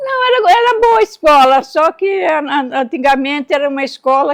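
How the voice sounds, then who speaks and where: A woman speaks in a high pitch at a moderate pace with very wide pitch swings and a dry, close sound with no echo. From Brazil, São Paulo state interior (Americana). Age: 80s+. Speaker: interviewee, grandmother. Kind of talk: casual interview.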